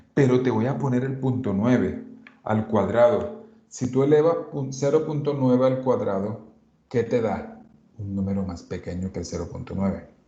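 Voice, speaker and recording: A man with a dark, mellow, somewhat breathy voice speaks at a moderate pace with lively intonation amid audible room echo. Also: medium pitch for a man. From Colombian Caribbean coast. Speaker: math teacher. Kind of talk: lecture.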